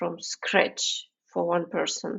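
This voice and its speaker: The speaker is a woman with a non-native accent. She talks very slowly. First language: not English. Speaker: podcast host. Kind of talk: podcast interview.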